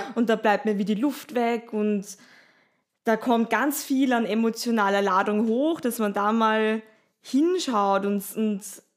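In a very clean recording with a silent background, a woman with an ordinary speaking voice talks at a fairly slow pace and a fairly high pitch, with ordinary pitch variation. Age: 30s. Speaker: yoga teacher and sound healer. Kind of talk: casual chat.

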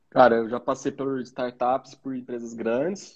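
Speaking at a moderate pace, a man uses a plain, everyday voice at medium pitch with fairly even intonation. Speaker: podcast co-host, product manager. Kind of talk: casual chat.

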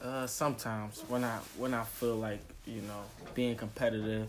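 Delivered at a moderate pace with flat, monotone intonation. There is audible echo from the room. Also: man. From US, West Philadelphia. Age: 20s. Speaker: rapper. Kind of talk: casual interview. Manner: halting, hesitant.

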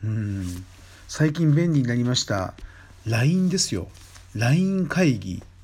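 Pitched in the medium range, a man talks at a fairly slow pace with very wide pitch swings and a somewhat breathy voice. Long pauses come often. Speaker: podcast host, Thai massage trainer. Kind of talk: casual solo talk. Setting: late-night solo recording. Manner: rambling, conversational.

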